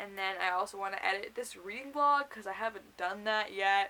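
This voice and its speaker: A loud woman's voice with a bright, sharp tone at a moderate pace. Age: young. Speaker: booktuber. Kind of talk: casual vlog.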